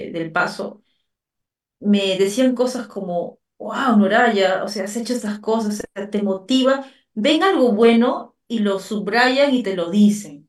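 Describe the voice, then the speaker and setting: Talking very slowly, a woman uses a medium pitch with ordinary pitch variation. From Peru, Lima. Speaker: writer and actress. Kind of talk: interview.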